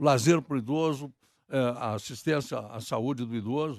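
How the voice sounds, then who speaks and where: A man is speaking. The background is quiet. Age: 70s. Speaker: presidential candidate. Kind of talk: political interview.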